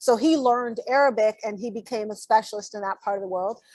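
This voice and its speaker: Recorded with a dry, close sound and no echo, a woman speaks at a fairly quick pace in a fairly high pitch. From grew up abroad (Turkey, Morocco, Syria), then Oakland, California. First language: Turkish. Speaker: political candidate and Navy veteran. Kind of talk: interview.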